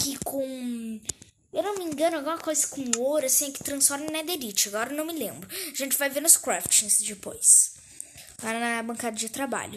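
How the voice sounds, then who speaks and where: Light background noise sits behind a woman with a high pitch. She moves at a moderate pace, her intonation lively. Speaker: gaming channel host. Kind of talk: casual gameplay commentary. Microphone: phone near.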